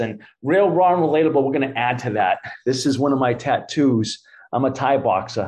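A man with a Boston accent, medium pitch, ordinary pitch variation and very even loudness. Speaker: author and Thai boxer. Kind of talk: interview.

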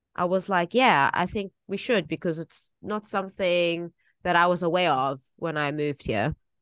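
A South African accent at a moderate pace with ordinary pitch variation, dry and close with no echo against a quiet background. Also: woman, fairly low pitch for a woman. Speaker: English teacher and podcast co-host. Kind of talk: casual chat.

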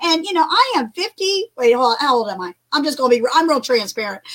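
A woman talks fast in a high pitch, her tone fairly bright and her intonation lively.

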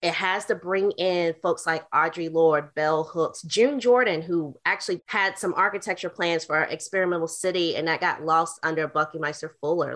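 Set against a quiet background, a woman with a Southern US accent speaks at a fairly low pitch. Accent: Southern US, regional diction kept. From US South, North Carolina. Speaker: urban planner, author, artist and activist. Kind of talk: interview conversation.

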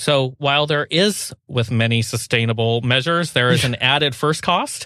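A man's lively voice with an American accent and vocal fry. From US Pacific Northwest. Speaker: sustainability consultant, co-founder of a firm. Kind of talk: interview.

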